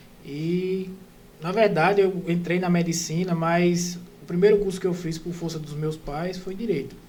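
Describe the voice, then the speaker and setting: Monotone, flat intonation at a moderate pace, with audible room echo. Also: man, high pitch for a man. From interior of Pernambuco, Brazil (Bezerros). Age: 30s. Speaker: orthopedic resident doctor. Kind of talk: casual podcast interview, personal story.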